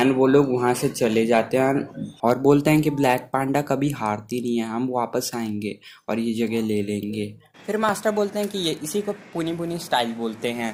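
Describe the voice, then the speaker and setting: His voice, medium in pitch, carries lively intonation. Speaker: anime movie explainer. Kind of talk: casual movie recap narration. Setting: no microphone, unedited voice. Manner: unscripted.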